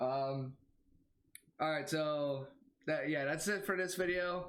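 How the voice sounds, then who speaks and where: A man's fairly high voice at a fairly slow pace, with audible room echo. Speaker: YouTube reaction video creator. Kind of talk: casual vlog commentary. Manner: halting, many fillers.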